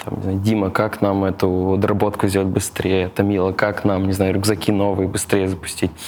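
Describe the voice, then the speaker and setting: A man speaks at a fairly quick pace with hardly any pauses, his pitch fairly low. His intonation is monotone and flat, over noticeable background noise. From Tatarstan, Russia. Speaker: operations executive. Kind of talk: casual interview.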